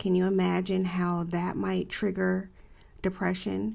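The recording is very clean with a silent background as a woman talks at a moderate pace. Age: 50s. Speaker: podcast host. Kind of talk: solo podcast monologue.

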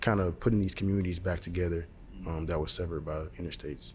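A man with a very deep, low voice speaks in a flat monotone that is somewhat breathy. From Alabama, Montgomery. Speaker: architecture student. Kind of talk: interview. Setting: university school of architecture.

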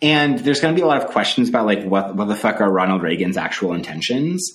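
Very wide pitch swings mark a man's fairly low voice. He talks at a very fast pace in audible room echo. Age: 30s. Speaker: political theory professor and podcast co-host. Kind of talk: casual chat. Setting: remote call.

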